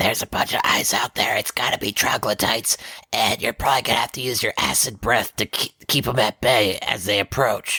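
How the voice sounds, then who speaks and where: A raspy, put-on character voice comes in a whisper. The pace is fairly quick. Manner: whispering.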